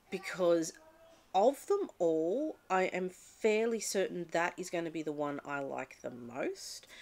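Slowly, a woman with an Australian accent speaks at medium pitch, her voice sweeping through very wide pitch swings. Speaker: book vlogger. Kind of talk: casual vlog talk; casual vlog chat. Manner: halting, with fillers. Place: home room. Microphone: webcam.

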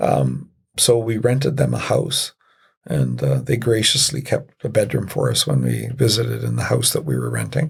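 He is a man with a Canadian accent. His pace is moderate. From military bases in Europe, then Canada. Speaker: retired police officer and city councillor. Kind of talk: podcast interview.

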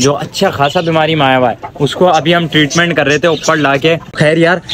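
Noticeable background noise sits behind a man's voice. His intonation is fairly even. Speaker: pet vlogger. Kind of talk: casual vlog chat. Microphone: phone near.

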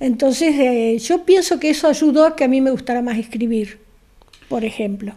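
The woman's pitch is high, and it varies in an ordinary way. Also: moderate pace. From Argentina, raised in Corral de Bustos, Córdoba; Córdoba, Argentina. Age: old. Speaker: retired writer, interviewee; interviewee. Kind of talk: interview at home, personal life story. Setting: at her home. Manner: talkative. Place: home room. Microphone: handheld.

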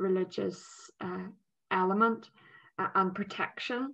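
Against a quiet background, a woman talks in a Northern Irish accent. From Northern Ireland. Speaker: politician. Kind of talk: interview. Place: home room. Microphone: video call.

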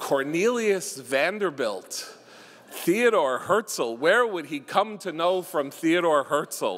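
A man speaks at a very slow pace. His pitch sits high. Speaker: tribute speaker, son of the honoree. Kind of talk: ceremonial tribute speech. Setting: stage with audience. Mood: warm, humorous at times. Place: hall. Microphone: podium.

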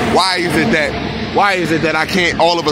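Recorded dry with no echo, a man talks over noticeable background noise. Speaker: sky-watching vlogger. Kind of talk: casual vlog commentary. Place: car. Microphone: phone near.

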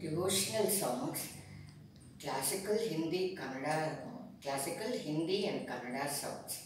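A woman's very slow speech with lively intonation, strong room echo, and noticeable background noise. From India. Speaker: senior music student. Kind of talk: interview answer. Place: office. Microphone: camera far.

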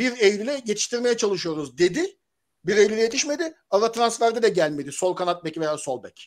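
A man's high-pitched voice with very wide pitch swings, big swings in loudness and a fairly quick pace, over a quiet background. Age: 40s. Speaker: football commentator; football commentator panelist. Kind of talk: casual chat. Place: home room. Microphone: video call.

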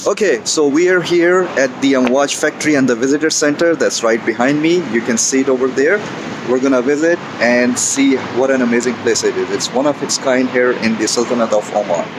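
Noticeable background noise sits behind a man speaking. He moves at a fairly quick pace with ordinary pitch variation. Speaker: travel vlogger. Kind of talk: casual vlog chat. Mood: upbeat, enthusiastic. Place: garden. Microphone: phone near.

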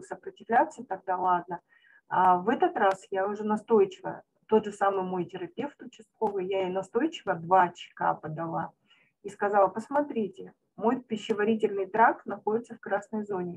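A woman speaks at a moderate pace in an unremarkable speaking voice. Her pitch sits in the medium range, with ordinary variation. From Nizhnevartovsk, Russia. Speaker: company partner sharing a story. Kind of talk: storytelling, testimonial.

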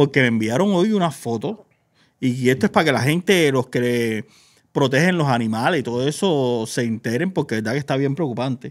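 Speaking fairly quickly with lively intonation, the man is heard against a quiet background. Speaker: gossip show host. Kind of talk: casual chat, entertainment news. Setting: studio, live stream. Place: studio. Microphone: studio mic.

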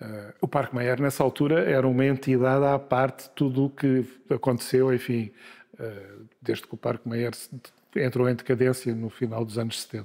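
A man talks at a moderate pace with medium pitch and fairly even intonation. He has a plain, everyday voice. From Lisbon, Portugal. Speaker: journalist and media executive. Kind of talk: interview.

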